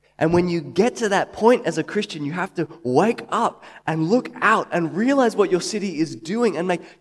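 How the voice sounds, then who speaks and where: With an Australian accent, a man talks in a high pitch with lively intonation. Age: 30s. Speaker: preacher. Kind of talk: sermon.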